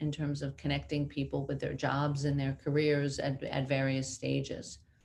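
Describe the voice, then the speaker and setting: A woman speaks with a New York accent at a very deep, low pitch. Her intonation is monotone and flat. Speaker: company CEO. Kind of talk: interview.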